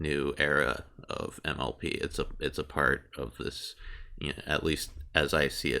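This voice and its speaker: A man's bright, sharp tone with vocal fry and ordinary pitch variation, at a fairly slow pace, on a very clean recording with a silent background. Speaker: video creator. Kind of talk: casual podcast talk. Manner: rambling, casual, hesitant.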